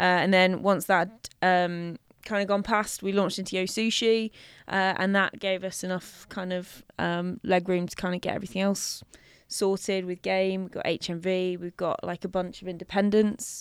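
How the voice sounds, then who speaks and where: The speaker has a London accent and a monotone, flat intonation. The recording is very clean, with a silent background. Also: woman, medium pitch for a woman, moderate pace. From North West London. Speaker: drinks company founder. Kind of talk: casual chat.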